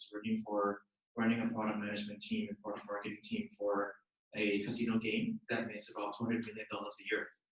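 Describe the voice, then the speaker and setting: At a very fast pace, a man of medium pitch speaks with fairly even intonation. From Thailand and Singapore. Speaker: startup founder and CEO. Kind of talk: panel discussion.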